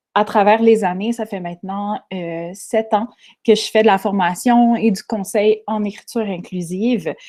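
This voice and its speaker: A woman with a Quebec accent, medium pitch, fairly even intonation and a dark, mellow tone, at a fairly slow pace, on a very clean recording with a silent background. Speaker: inclusive writing trainer and bookseller. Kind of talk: panel presentation.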